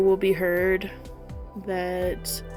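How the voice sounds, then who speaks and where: A woman's monotone, flat delivery over music in the background. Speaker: watercolor artist. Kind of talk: personal voiceover while painting.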